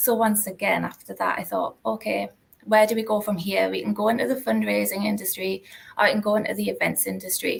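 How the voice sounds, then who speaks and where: A woman speaks with a North East England accent. Her pace is fairly quick. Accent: North East English (Geordie). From North East England, Newcastle. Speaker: university alumni relations manager. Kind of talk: interview, career story.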